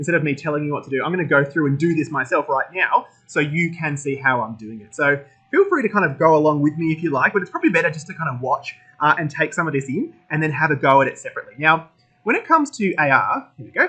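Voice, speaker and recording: Very fast and bright, sharp in tone, a man with an Australian accent speaks at a fairly high pitch with ordinary pitch variation and big swings in loudness. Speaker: tech school educator. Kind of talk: tutorial. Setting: recorded at workstation with laptop and phone.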